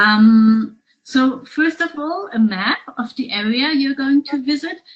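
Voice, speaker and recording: A woman's high voice in a German accent, at a very slow pace with lively intonation. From Germany. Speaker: tour operator. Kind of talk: presentation. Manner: hesitant, many fillers.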